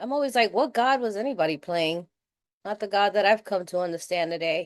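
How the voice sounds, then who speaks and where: A woman with a New York accent at a fairly quick pace over a quiet background. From New York City. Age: 60s. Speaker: recovery meeting speaker. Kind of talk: recovery share. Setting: video call. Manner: casual, conversational.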